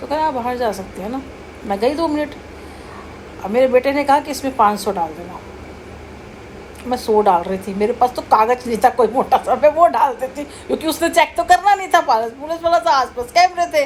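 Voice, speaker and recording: Noticeable background noise sits behind a woman's high-pitched voice. Her pitch swings very widely and her loudness rises and falls in big swings. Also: moderate pace. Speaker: vlogger. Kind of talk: casual storytelling. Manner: animated.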